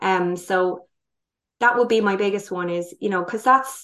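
A woman with a plain, everyday voice speaks at a fairly slow pace and medium pitch, with ordinary pitch variation against a quiet background. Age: 30s. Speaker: holistic wellness educator, former primary school teacher. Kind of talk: interview.

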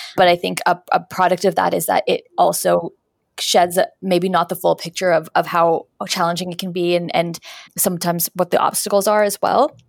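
A woman with a Canadian accent speaks at a moderate pace in a fairly low, monotone, flat voice with vocal fry, in a dry, close sound with no echo and a very clean recording over a silent background. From Canada, Winnipeg. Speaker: career coach and resume strategist. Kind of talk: interview.

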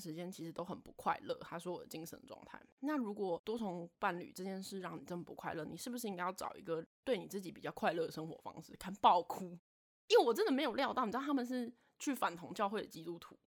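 Her medium-pitched voice moves at a very fast pace with lively intonation. The woman's loudness swings widely. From Taiwan, Taipei. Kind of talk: casual chat.

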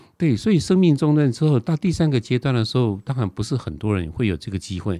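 A man with a Taiwanese accent talks very fast at medium pitch, with very wide pitch swings and a dark, mellow tone. The recording is very clean with a silent background, dry and close with no echo. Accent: Taiwanese Mandarin. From Taiwan, Nantou County. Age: 60s. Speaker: author and TV travel host. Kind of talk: interview.

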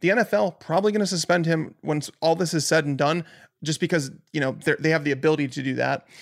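Captured on a very clean recording with a silent background, a man with a normal speaking voice talks at a fairly quick pace, fairly high in pitch with ordinary pitch variation. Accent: American. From Chicago, US Midwest. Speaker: fantasy football analyst. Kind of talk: casual chat.

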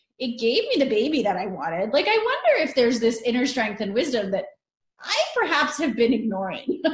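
Speaking at a fairly quick pace with lively intonation, a woman with a high-pitched voice is heard in audible room echo. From born in Italy, Northern Italian family. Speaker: life coach and yoga teacher, cancer survivor. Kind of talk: interview, personal story.

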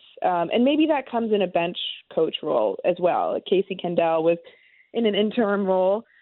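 Moving at a fairly quick pace, a woman uses a plain, everyday voice pitched at a medium level. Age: 30s. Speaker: baseball reporter. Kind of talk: sports talk radio interview.

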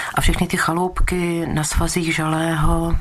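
A woman with a very deep, low voice talks over noticeable background noise. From Czechia, Krkonoše region (Trutnov). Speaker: teacher and dissident. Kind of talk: oral history interview. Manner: measured.

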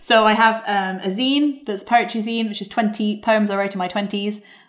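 Talking at a fairly quick pace, a woman uses a plain, everyday voice pitched fairly high. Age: 20s. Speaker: booktuber. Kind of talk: interview.

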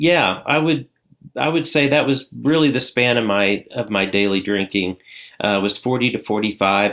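An ordinary speaking voice with an American accent moves at a fairly slow pace with ordinary pitch variation on a very clean recording with a silent background. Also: man. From southern Indiana. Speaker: addiction recovery coach. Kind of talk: interview, personal testimony.

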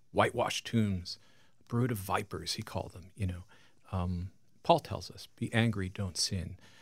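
Somewhat breathy and speaking at a moderate pace, this voice has an American accent and big swings in loudness. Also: man, fairly low pitch for a man, ordinary pitch variation. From Long Island, New York. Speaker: pastor and author. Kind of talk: radio interview.

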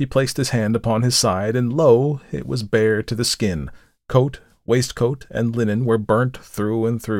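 An unforced reading voice comes through. The intonation stays fairly even.

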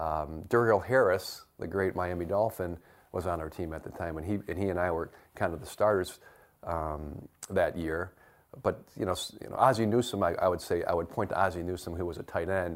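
A man with a Midwestern American accent talks at a fairly quick pace in a very deep, low voice with ordinary pitch variation. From US Midwest (Detroit area, Michigan). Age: 50s. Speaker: retired football player. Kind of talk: interview.

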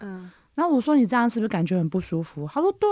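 Talking at a very fast pace, a woman's voice swings very widely in pitch. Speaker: podcast co-host. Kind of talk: casual chat. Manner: lazy, slurred articulation.

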